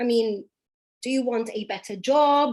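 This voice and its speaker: Lively intonation carries a British accent at a fairly slow pace. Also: woman. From Dubai, UAE. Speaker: English teacher. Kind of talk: online class. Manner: animated.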